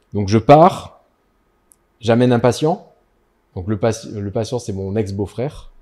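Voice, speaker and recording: Pausing long and often at a fairly slow pace, a man with a dark, mellow tone swings widely in loudness in a very clean recording with a silent background. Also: medium pitch for a man, ordinary pitch variation. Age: 50s. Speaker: dentist. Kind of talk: casual interview chat. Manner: hesitant, many fillers.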